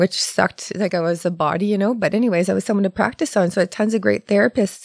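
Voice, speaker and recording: A woman with a Canadian accent and an unremarkable speaking voice, fairly quick and fairly even in intonation, on a very clean, dry, close recording with a silent background and no echo. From Ontario, Canada. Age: 40s. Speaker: massage therapist. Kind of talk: casual chat. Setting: studio.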